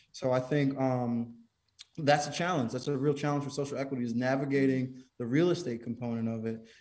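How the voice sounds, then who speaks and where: With an American accent and an ordinary speaking voice, a man talks at a fairly quick pace and medium pitch, keeping his intonation fairly even. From Connecticut. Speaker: cannabis business owner. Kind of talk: interview.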